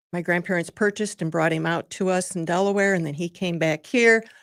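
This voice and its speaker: Fairly even intonation comes through in an Upper Midwest accent. The recording is very clean with a silent background, dry and close with no echo. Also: woman. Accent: Upper Midwest American. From Michigan (Lansing area). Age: 70s. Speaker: nonprofit president. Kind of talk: radio interview. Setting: studio.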